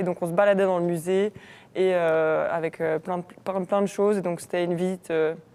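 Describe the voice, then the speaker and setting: In a Belgian accent, a woman speaks at medium pitch and a moderate pace with flat, monotone intonation on a very clean recording with a silent background. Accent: Namur Belgian French. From Belgium, Namur. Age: 20s. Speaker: university student ambassador. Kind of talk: casual chat. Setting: live stream studio.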